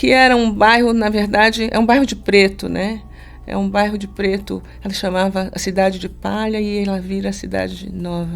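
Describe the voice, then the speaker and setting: A woman speaks at a moderate pace. Audible room echo is present. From Brazil, Salvador (Bahia). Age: 50s. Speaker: university professor. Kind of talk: interview conversation. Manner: halting, many repetitions.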